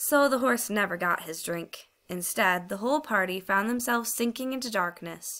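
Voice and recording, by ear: A natural voice reading something aloud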